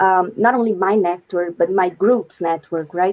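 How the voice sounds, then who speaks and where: The speaker talks at a moderate pace with a Brazilian accent. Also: woman. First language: Brazilian Portuguese. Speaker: wikipedian, researcher and organizer. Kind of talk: live panel interview.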